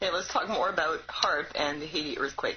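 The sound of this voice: A woman at a fairly quick pace, low in pitch. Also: ordinary pitch variation.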